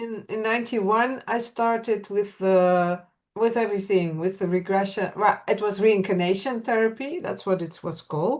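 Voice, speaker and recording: A woman speaks at a moderate pace with a medium pitch and ordinary pitch variation. She barely pauses, and the background is quiet. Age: 60s. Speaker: regression therapist. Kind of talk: interview. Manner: halting.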